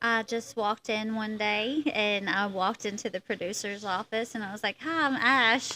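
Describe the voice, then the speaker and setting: A woman with a bright, sharp tone talks with hardly any pauses. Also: fairly high pitch for a woman, ordinary pitch variation, moderate pace. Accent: strong Eastern Kentucky. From Eastern Kentucky (Harlan County). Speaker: actress and photographer. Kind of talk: casual interview chat.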